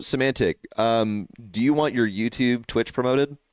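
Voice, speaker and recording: A man with an American accent, medium in pitch and moderate in pace, with ordinary pitch variation, in a very clean recording with a silent background and a dry, close sound with no echo. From Texas. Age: 20s. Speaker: esports caster and streamer. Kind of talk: casual live stream chat. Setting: live stream with headset mic. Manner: animated.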